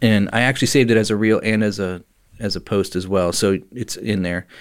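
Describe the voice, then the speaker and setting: The speaker is a man with a fairly low pitch. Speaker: podcast host. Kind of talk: casual chat. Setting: studio. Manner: laughs often, joking.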